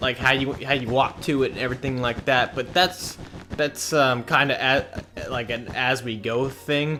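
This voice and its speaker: A man's tone is animated and his pace moderate, with noticeable background noise behind him. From US Midwest, Indiana. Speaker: gaming YouTuber. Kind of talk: gameplay commentary.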